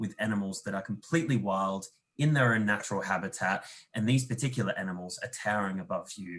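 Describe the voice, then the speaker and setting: A medium-pitched man with an Australian accent. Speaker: tourism representative. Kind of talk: webinar presentation.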